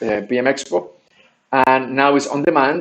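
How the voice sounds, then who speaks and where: A man talks with a Spanish accent. His intonation stays fairly even. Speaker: game designer and training researcher running a crowdfunding campaign. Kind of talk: video update vlog. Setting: different recording setup while relocating. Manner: halting, many fillers and restarts.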